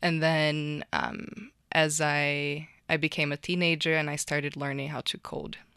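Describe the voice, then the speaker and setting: A woman with a Portuguese accent speaks at a fairly slow pace in a very deep, low pitch, her tone bright and sharp against a quiet background. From Brazil. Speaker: tech founder. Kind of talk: interview.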